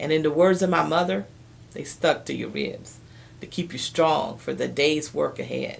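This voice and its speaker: An American accent from a woman, her delivery at a fairly slow pace. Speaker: storyteller. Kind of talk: personal storytelling to camera.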